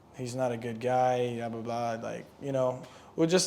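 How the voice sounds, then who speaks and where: A man talks at a medium speed while noticeable noise sits in the background. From Lebanon. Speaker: singer and entrepreneur. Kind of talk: podcast interview. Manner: casual, filler-heavy.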